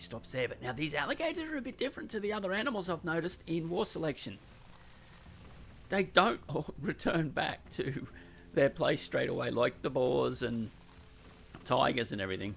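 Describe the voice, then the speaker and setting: With vocal fry and very wide pitch swings, a man speaks at a fairly quick pace broken by long, frequent pauses. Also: fairly high pitch for a man. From Australia. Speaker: game caster. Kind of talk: live commentary. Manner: animated.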